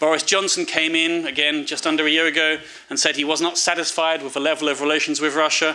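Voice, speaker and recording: In a British accent, a man with a fairly high pitch talks at a fairly quick pace in a monotone, flat intonation over noticeable background noise. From United Kingdom. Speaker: foreign policy analyst. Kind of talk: seminar talk. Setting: seminar with audience. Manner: hesitant, many fillers and repetitions.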